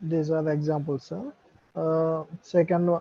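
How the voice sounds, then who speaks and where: A man talks quietly at a fairly slow pace. His pitch is high, with fairly even intonation. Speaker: student. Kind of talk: online class discussion. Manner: halting.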